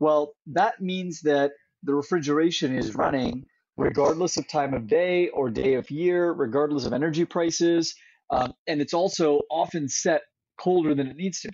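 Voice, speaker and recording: Here is an unremarkable speaking voice at a moderate pace. Its pitch variation is ordinary. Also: man, fairly high pitch for a man. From Central California. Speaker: climate tech company founder. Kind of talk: interview.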